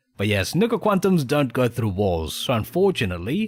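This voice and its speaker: This man talks at a fairly quick pace, somewhat breathy, with very wide pitch swings. The recording is very clean, with a silent background. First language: Spanish. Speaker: gaming streamer. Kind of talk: live stream gameplay commentary. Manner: casual, halting with fillers.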